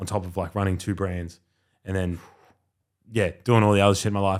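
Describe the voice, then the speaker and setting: Over a very clean recording with a silent background, a man with an Australian accent speaks at a very fast pace. His fairly low voice stays monotone and flat. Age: 20s. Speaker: podcast host. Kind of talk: casual chat.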